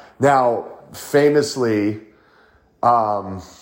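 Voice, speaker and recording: Against audible room echo, a man talks with ordinary pitch variation. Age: 50s. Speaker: podcast host. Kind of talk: solo monologue. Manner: halting.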